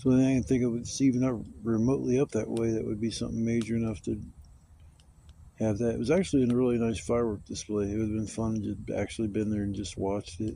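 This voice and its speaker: A man's medium-pitched voice, dark and mellow in tone, at a very fast pace. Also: ordinary pitch variation. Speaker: camping vlogger. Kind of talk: casual solo vlog monologue. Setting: outdoors at a campsite. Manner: rambling, mumbling.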